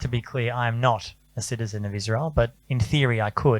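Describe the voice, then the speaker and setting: A man with an Australian accent, moderate pace and fairly even intonation. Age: 40s. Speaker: journalist. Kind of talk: panel talk.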